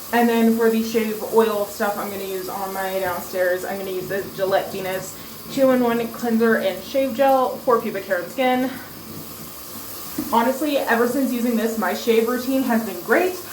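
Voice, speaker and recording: With audible room echo and noticeable background noise, a woman speaks at a fairly high pitch with ordinary pitch variation. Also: moderate pace. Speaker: beauty vlogger. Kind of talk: casual vlog tutorial.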